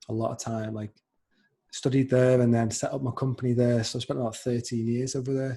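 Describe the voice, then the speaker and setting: At a very fast pace, a man with a slight Scouse accent speaks at a medium pitch in a dark, mellow, somewhat breathy tone with monotone, flat intonation. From Liverpool, England. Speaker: podcast host. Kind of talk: casual interview chat.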